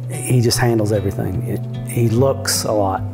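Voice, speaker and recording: Clear music sounds in the background. Over it, a man talks. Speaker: stallion manager. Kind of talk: interview answer. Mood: fond, reminiscing. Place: home room. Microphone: lapel.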